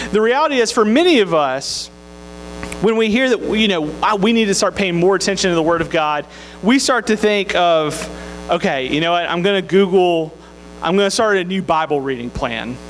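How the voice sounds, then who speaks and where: Music plays in the background as a man talks in a Southern US accent. His pitch is high and his intonation lively. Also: moderate pace. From Mississippi, US South. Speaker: campus minister. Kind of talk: sermon.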